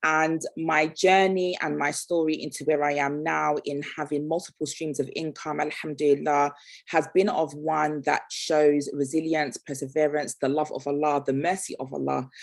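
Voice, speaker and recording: With hardly any pauses, a woman speaks in a very deep, low pitch and a monotone, flat intonation. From Nigeria. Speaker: entrepreneur and guest speaker. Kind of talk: motivational talk. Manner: fast.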